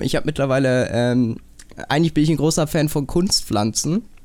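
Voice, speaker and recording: Speaking at a moderate pace with ordinary pitch variation, a man has a plain, everyday voice pitched fairly high. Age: young. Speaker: podcast host, media design apprentice. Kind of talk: casual chat. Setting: video call.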